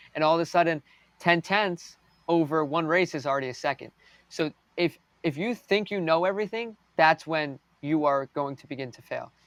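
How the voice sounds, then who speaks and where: In a very clean recording with a silent background and a dry, close sound with no echo, a man with an American accent and an unremarkable speaking voice talks at a moderate pace, his loudness swinging widely. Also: fairly high pitch for a man, ordinary pitch variation. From United States. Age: young. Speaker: race car driver. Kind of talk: interview.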